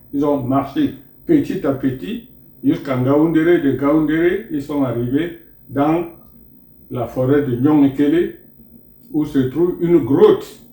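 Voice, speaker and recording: Fairly high-pitched for a man, his dark, mellow voice is somewhat breathy and moves fairly slowly with ordinary pitch variation. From Cameroon, Moungo area near Douala. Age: 80s+. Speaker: traditional elder and spiritual teacher. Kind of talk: interview storytelling.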